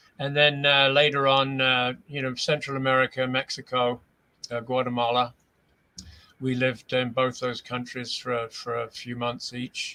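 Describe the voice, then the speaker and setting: Speaking at a moderate pace, a man has a medium pitch, a bright, sharp tone, and monotone, flat intonation. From England. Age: 60s. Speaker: author and filmmaker. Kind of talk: interview. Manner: halting, many fillers.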